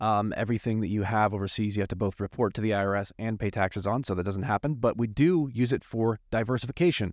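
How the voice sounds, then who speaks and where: Very fast and with hardly any pauses, the speech comes in an American accent with ordinary pitch variation, sounding dry and close with no echo against a quiet background. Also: man, fairly low pitch for a man. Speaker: attorney. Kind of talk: podcast intro.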